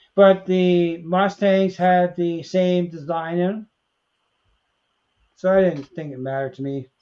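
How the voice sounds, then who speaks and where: Fairly slow and dark, mellow in tone, this voice leaves long, frequent pauses. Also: man, high pitch for a man. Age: 70s. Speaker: model railroad hobbyist. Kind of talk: casual chat. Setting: livestream.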